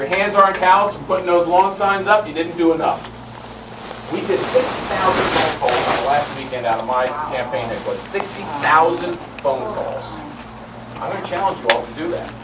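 Speaking at a high pitch for a man, a man uses lively intonation and long, frequent pauses over noticeable background noise. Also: moderate pace. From US East Coast, Maryland. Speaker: congressman, speaker at rally. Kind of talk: rally speech.

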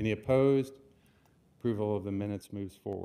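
A man's fairly low, dark, mellow voice at a fairly quick pace, with fairly even intonation. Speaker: planning board vice chair. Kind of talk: public meeting chairing. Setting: public meeting room with microphones. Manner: formal. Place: hall. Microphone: podium.

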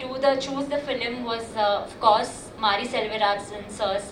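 A woman with a non-native accent and ordinary pitch variation, amid noticeable background noise and audible room echo. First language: not Kannada (speaking Kannada). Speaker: actress. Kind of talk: speech at audio launch event. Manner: halting, many fillers.

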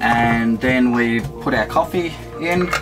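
A man is speaking. Music plays clearly in the background. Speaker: travel vlogger. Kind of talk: casual vlog chat tutorial. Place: kitchen.

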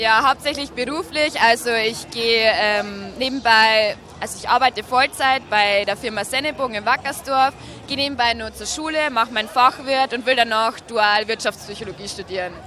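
A woman talks at a moderate pace with a fairly high pitch and ordinary pitch variation. The sound is dry with no echo, and there is light background noise. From Bavaria, Regensburg area; Bavaria. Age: 20s. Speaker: dating show candidate; candidate. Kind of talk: casual interview. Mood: cheerful, laughing. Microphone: handheld.

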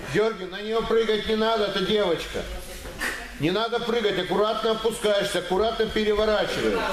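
A man speaks at a fairly quick pace in a high pitch with monotone, flat intonation. Noticeable background noise and audible room echo are present. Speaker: judo coach. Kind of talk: coaching commands and counting. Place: gym. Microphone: camera far.

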